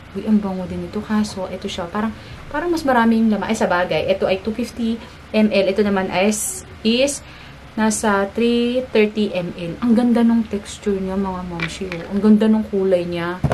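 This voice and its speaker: A woman talks at a moderate pace while noticeable background noise runs behind her. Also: medium pitch for a woman, ordinary pitch variation. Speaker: beauty and family vlogger. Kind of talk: product unboxing review. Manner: animated.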